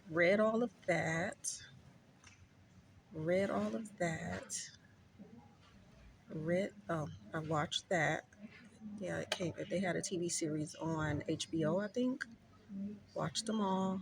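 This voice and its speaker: With an American accent, a woman speaks very slowly in a fairly low voice with vocal fry, lively intonation, and long, frequent pauses. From Oakland, California. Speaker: lifestyle vlogger. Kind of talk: casual vlog talk. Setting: library. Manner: loud.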